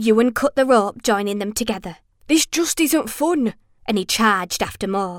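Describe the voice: Lively intonation in a plain reading aloud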